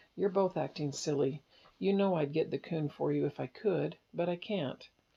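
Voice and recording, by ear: A gruff, put-on character voice moves at a moderate pace with a middle pitch.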